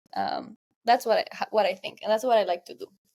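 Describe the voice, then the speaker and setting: The speaker is a woman with a Spanish accent. Her voice is fairly high in pitch. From Guatemala. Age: 20s. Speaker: tech entrepreneur. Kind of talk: podcast interview. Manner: halting.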